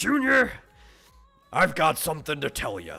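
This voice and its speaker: A man's gruff, put-on character voice, fairly high in pitch, at a moderate pace with music in the background. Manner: gravely serious.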